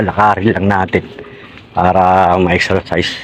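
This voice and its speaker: With noticeable background noise behind him, a man talks at a moderate pace and a fairly low pitch, his intonation fairly even. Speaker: vlogger. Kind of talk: casual vlog. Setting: outdoors walking dog on street.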